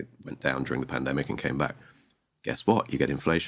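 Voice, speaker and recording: In a southern English accent, a man speaks at a very fast pace. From Sussex, southeast England. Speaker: investment director. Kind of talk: casual interview. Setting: studio.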